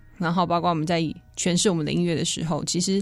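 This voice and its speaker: Very low-noise, clean audio of a fairly low-pitched female voice against complete silence. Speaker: band lead singer. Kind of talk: radio interview.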